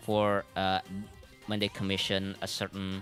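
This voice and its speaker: Over music in the background, a man speaks at a fairly slow pace in a fairly low pitch with monotone, flat intonation. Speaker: vtuber and manga translator. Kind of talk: livestream talk to audience.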